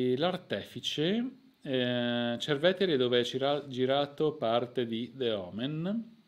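A man's voice carries lively intonation at a fairly high pitch. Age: 40s. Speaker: YouTube history channel host. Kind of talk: live stream chat and storytelling. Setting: home live stream. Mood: relaxed, friendly. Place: home room. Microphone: new microphone being tested.

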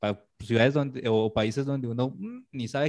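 A man speaks in a Cali accent. The background is quiet. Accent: Colombian (Caleño) Spanish. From Colombia, Cali. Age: 30s. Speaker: illustrator; guest. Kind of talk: casual interview. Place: home room. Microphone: video call.

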